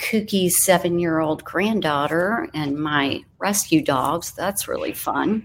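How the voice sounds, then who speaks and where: With an American accent, a woman of fairly low pitch speaks at a very slow pace on a very clean recording with a silent background. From Florida. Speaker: Pilates instructor. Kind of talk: interview. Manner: animated.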